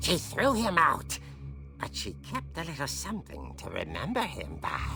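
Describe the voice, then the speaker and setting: In a cartoonish character voice, someone speaks at a moderate pace with clear music in the background. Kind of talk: horror comic narration. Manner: theatrical, relishing.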